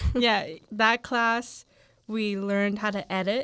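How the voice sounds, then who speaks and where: A woman speaks at a medium pitch in a bright, sharp tone, on a very clean recording with a silent background. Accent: Spanish. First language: Spanish. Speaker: podcast co-host, college student. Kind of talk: casual chat.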